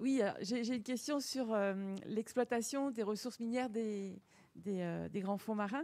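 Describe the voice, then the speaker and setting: At a very slow pace, a woman with a dark, mellow tone speaks at medium pitch with fairly even intonation against a quiet background. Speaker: research institute director. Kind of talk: formal welcome speech. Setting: lecture hall with audience. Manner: hesitant. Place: hall.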